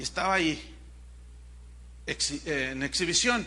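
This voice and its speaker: There is audible room echo as a man speaks with a Mexican accent. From Mexico. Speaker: pastor. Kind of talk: sermon. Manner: animated.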